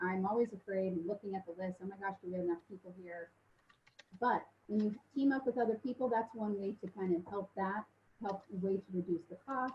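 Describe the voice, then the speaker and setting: A woman's somewhat breathy voice moves along at a fairly quick pace. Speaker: mortgage lender. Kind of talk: webinar presentation. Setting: online webinar. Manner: fast; hesitant with many fillers.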